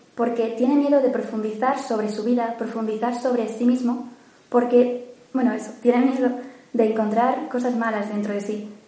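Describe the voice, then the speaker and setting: Over noticeable background noise, a woman with a high pitch speaks at a fairly quick pace in a monotone, flat intonation. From Mérida, Spain. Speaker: university student, retreat participant.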